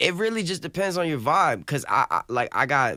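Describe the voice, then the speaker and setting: In an American accent, a man talks with a bright, sharp tone and very wide pitch swings, the sound dry and close with no echo. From US South. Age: 20s. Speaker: rapper. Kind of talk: casual chat. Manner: halting.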